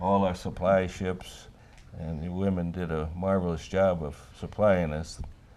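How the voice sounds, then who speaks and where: A man speaks at a fairly slow pace with a very deep, low pitch and a dark, mellow tone. His intonation is monotone and flat, with audible room echo around him. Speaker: war veteran. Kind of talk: casual conversation.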